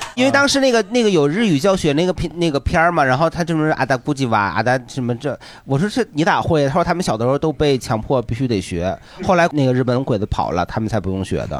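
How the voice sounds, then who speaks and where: Very wide pitch swings from a man speaking at a very fast clip. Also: fairly high pitch for a man. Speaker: comedian, podcast co-host. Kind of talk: casual chat.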